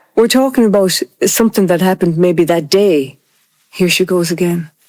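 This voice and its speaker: In an Irish accent, a woman speaks at medium pitch and a fairly quick pace, with ordinary pitch variation and very even loudness. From Ireland. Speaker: interviewee on race in Ireland. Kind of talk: group conversation.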